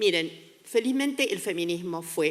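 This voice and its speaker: A woman's fairly low voice with lively intonation. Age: 70s. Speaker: sociologist and gender studies researcher. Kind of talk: conference talk.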